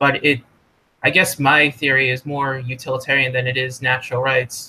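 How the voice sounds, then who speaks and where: Monotone and flat, a man's bright, sharp voice moves at a moderate pace. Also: medium pitch for a man. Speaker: economics student or scholar being interviewed. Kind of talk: casual podcast interview discussion. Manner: halting, self-corrects with fillers.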